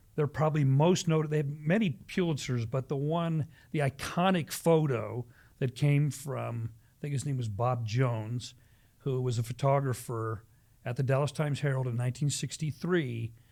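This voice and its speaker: The man has an American accent and a dark, mellow tone that is somewhat breathy. His loudness swings widely while his pitch varies in an ordinary way. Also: medium pitch for a man, moderate pace. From US Midwest, Ohio near Cleveland. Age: 60s. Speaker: pastor. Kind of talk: casual chat.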